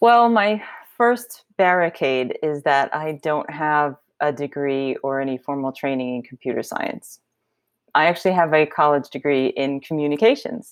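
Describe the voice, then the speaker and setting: A woman with an American accent speaks at a moderate pace with lively intonation and a very deep, low pitch. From New York City. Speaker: software engineer. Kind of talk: interview.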